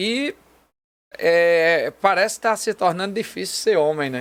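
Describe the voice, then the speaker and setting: Very slow speech in a northeastern Brazilian accent with ordinary pitch variation, on a very clean recording with a silent background. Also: man. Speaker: pastor. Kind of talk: casual chat. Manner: halting with fillers.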